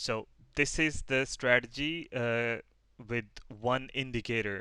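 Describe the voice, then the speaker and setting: The recording is very clean, with a silent background. A man with a non-native accent speaks in a bright, sharp tone. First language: not English. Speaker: forex trader teaching a strategy. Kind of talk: tutorial. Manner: halting, many fillers.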